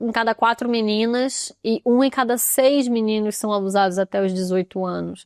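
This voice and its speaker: A woman's fairly high, plain, everyday voice comes with fairly even intonation on a very clean recording with a silent background. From Brazil, Rio de Janeiro suburbs (São Gonçalo). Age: 30s. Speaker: podcast host, therapist and artist. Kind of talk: personal testimony podcast. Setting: videocast. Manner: casual conversational.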